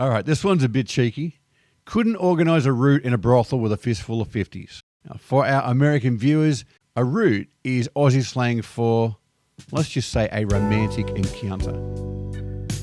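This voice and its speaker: A man speaks with an Australian accent. His pitch sits at a medium level. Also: lively intonation, moderate pace. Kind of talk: casual talk to camera. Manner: upbeat, cheeky.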